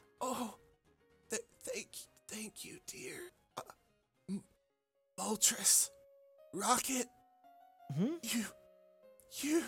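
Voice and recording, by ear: Over faint background music, a put-on character voice, fairly high and creaky, moves at a very slow pace with long, frequent pauses.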